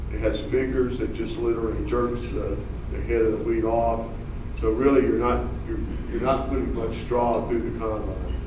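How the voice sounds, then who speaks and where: A man is speaking in a room with audible echo. Noticeable background noise is present. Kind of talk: conference presentation. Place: hall.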